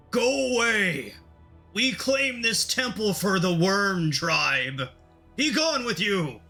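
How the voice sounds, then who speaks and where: A man shouts in a put-on character voice at a high pitch and a very slow pace. Faint music plays in the background. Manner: shouting, commanding.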